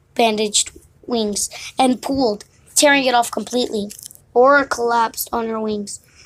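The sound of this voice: Reading done in an unforced voice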